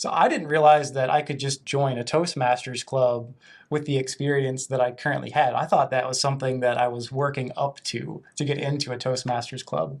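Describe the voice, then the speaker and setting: In a very clean recording with a silent background, a man uses a normal speaking voice at medium pitch, moderate pace and fairly even intonation, with hardly any pauses. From western Virginia, US. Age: 30s. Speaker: toastmasters member, eco-entrepreneur. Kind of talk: interview.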